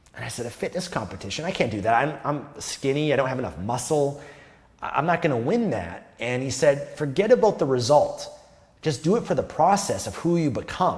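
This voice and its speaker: This man's pitch is fairly high. It swings very widely. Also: fairly quick pace. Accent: Canadian. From Canada. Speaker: self-improvement youtuber. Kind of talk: casual monologue to camera. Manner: modulated, wide vocal range.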